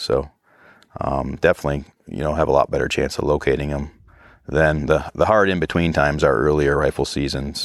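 A man with an American accent speaks at a fairly quick pace in a very deep, low voice with vocal fry and fairly even intonation. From northern New York, US. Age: 40s. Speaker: hunting outfitter and guide. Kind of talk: interview. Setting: outdoors in the mountains.

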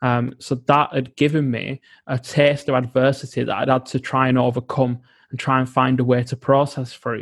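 Monotone and flat, a man's voice comes across dry and close with no echo on a very clean recording with a silent background. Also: medium pitch for a man, moderate pace. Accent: British. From UK. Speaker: environmental psychologist and coach. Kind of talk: interview.

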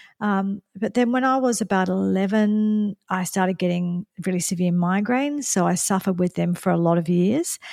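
A woman with an Australian accent talks at a moderate pace and medium pitch, with ordinary pitch variation and hardly any pauses. Her loudness stays very even, and the sound is dry and close with no echo. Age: 50s. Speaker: nutritionist and podcast host. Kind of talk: personal monologue. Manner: halting.

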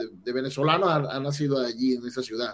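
A man with a fairly high-pitched voice talks against noticeable background noise. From Venezuela, Barquisimeto. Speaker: immigrant entrepreneur. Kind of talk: casual interview. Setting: video call.

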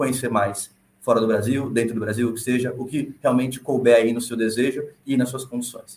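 A man talks at a moderate pace. There is a somewhat breathy quality to his voice. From Brazil. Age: 20s. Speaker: former engineer and world traveler. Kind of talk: podcast conversation.

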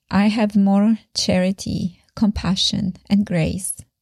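The voice is somewhat breathy and dark, mellow in tone, with a Polish accent and monotone, flat intonation. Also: woman. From Poland, Sopot near Gdańsk. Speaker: faith podcaster and musician. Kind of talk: personal testimony monologue.

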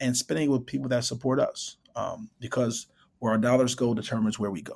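A man with a Chicago accent, medium pitch and a fairly quick pace. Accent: Chicago American. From Chicago, US Midwest. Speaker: startup founder and CEO. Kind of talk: interview.

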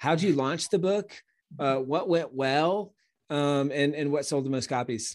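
Speaking fairly slowly against a quiet background, a man uses an ordinary speaking voice at a fairly high pitch with ordinary pitch variation. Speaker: podcast host. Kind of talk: interview, casual podcast conversation.

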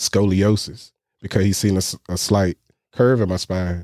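In an American accent, the speaker goes at a very slow pace with monotone, flat intonation and a dark, mellow tone. The recording is very clean, with a silent background. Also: man, dry, close sound with no echo. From US, military family, roots in North Carolina. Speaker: guest with multiple sclerosis. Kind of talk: casual interview.

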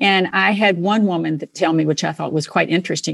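Over a quiet background, a woman with a normal speaking voice and a fairly low pitch speaks at a moderate pace with ordinary pitch variation. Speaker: podcast host. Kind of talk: interview, polished host intro.

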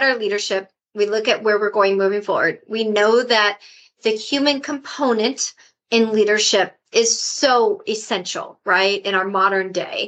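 A woman with a plain, everyday voice, fairly high in pitch, fairly even intonation, a fairly slow pace. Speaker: podcast host. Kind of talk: interview.

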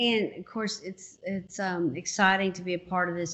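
This woman has a normal speaking voice. She talks at a fairly slow pace with fairly even intonation. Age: 50s. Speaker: podcast host and minister. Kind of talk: casual interview.

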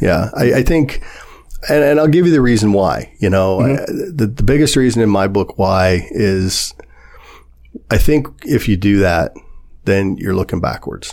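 Man with a Midwestern American accent, fairly low pitch, lively intonation, very even loudness and a fairly slow pace. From US Midwest, Warren, Ohio. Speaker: local businessman and developer. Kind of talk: casual interview chat. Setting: podcast studio.

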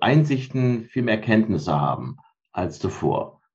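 Speaking at a very slow pace, a man with a medium pitch uses very wide pitch swings and vocal fry. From Rhineland, Germany (Cologne-Bonn area). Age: 50s. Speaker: mindfulness trainer. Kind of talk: interview.

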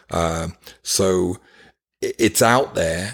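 Very deep, low pitch from a man, on a very clean recording against a silent background. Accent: British. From UK. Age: 50s. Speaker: nonprofit founder, former paramedic. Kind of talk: interview.

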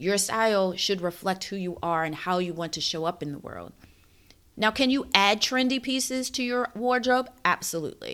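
Over a silent background in a very clean recording, a woman uses an ordinary speaking voice at a medium pitch, moving at a moderate pace with lively intonation. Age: 40s. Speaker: style coach podcast host. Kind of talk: solo podcast monologue.

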